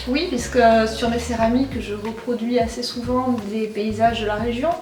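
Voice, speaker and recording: Noticeable background noise and audible room echo surround a woman's fairly high voice. She keeps a moderate pace with fairly even intonation. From southern France, Perpignan (Catalonia). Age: 40s. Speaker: ceramic artist. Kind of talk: interview.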